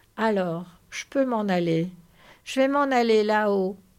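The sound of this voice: Unforced reading voice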